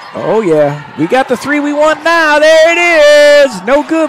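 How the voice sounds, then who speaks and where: Lively intonation comes through despite noticeable background noise. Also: man. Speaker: basketball commentator. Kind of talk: live sports commentary. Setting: gym, courtside broadcast.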